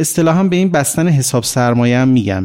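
This man talks at a medium pitch with lively intonation. He has an unremarkable speaking voice. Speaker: economist. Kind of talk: interview.

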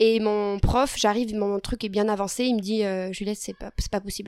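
Speaking at a moderate pace, a woman with an ordinary speaking voice sounds fairly high in pitch with fairly even intonation, in a dry, close sound with no echo. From southwestern France (Lot, Figeac). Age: 20s. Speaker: nurse and medical student. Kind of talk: interview.

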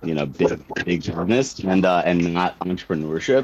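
A man with a very deep, low pitch at a moderate pace. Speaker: cannabis industry correspondent. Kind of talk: live news talk show.

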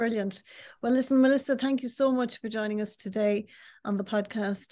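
Dark and mellow, the voice carries through. The background stays quiet. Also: woman. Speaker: podcast host and newspaper editor. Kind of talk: interview. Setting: video call.

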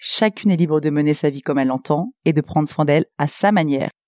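A woman's very deep, low voice with a dark, mellow tone, at a very fast pace with ordinary pitch variation, in a dry, close sound with no echo on a very clean recording with a silent background. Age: 30s. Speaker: skin therapist and podcast host. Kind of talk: solo podcast monologue.

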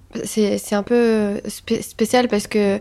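At medium pitch, a woman speaks in a monotone, flat intonation. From Tunisia, Tunis. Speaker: photographer. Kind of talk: casual interview chat.

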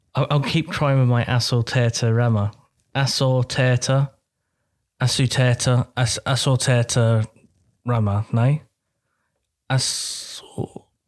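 A man with a British accent talks at a very slow pace, with long, frequent pauses, at a medium pitch, in a monotone, flat intonation and at very even loudness. The sound is dry and close with no echo, in a very clean recording with a silent background. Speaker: podcast co-host. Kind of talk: casual comedic chat.

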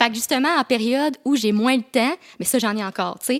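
Recorded very cleanly against a silent background, with a dry, close sound and no echo, a woman speaks very fast in a high voice with ordinary pitch variation. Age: 20s. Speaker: YouTuber and content creator. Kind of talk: casual chat.

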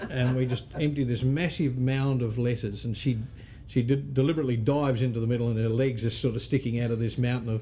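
In an Australian accent, a man speaks at a very fast pace and medium pitch. His intonation is fairly even, and audible room echo is present. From Australia, Northern Territory (Darwin). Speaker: real estate association CEO. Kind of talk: interview.

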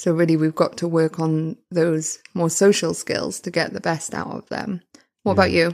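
With a British accent, a woman speaks at a fairly low pitch and a moderate pace with fairly even intonation. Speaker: podcast host, engineering academic. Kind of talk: interview.

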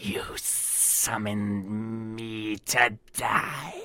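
It's a put-on character voice, low in pitch. The sound is raspy and hissing.

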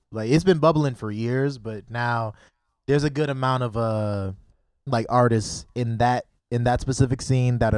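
Medium-pitched male speech at a moderate pace with fairly even intonation. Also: very clean recording, silent background. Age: 20s. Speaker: musician. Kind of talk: casual interview. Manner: halting, many fillers.

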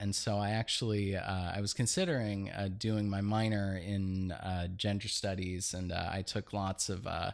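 Recorded very cleanly against a silent background, a man with an American accent speaks at a fairly low pitch with monotone, flat intonation. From Los Angeles, northeast (Eagle Rock area). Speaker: artist. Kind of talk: casual interview chat. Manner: halting, with frequent fillers.

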